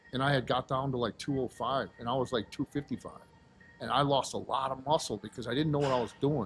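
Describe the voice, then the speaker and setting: Music plays in the background as the speech runs at a very fast pace with fairly even intonation. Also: man, medium pitch for a man. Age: 50s. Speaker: powerlifter and aspiring bodybuilder. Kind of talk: casual interview chat.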